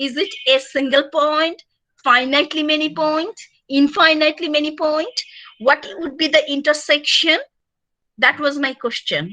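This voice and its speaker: A woman speaks with a Bengali accent in a raised, projected voice with a bright, sharp tone. Her pitch is high, with ordinary variation. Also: moderate pace. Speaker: university lecturer. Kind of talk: lecture. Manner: loud; halting.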